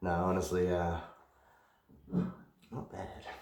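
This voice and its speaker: A man's quiet whisper at a very slow pace, with audible room echo and noticeable background noise. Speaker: whiskey reviewer. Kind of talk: casual product review. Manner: quiet, near whisper. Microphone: possible echo.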